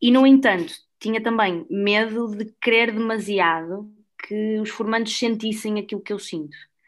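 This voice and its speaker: Against a quiet background, a woman speaks at a moderate pace in an ordinary speaking voice, fairly high, with ordinary pitch variation. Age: 20s. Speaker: former volunteer group board member. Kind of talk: casual podcast chat.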